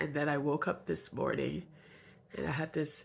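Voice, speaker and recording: Vocal fry runs through this woman's very deep, low pitch in a very clean recording with a silent background. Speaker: video journal vlogger. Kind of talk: personal video diary.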